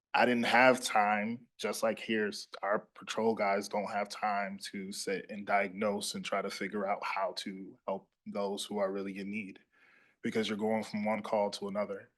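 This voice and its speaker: A man with a Louisiana accent speaks at a fairly slow pace. His pitch is fairly low and his intonation monotone and flat. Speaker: police officer. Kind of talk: public presentation to city council.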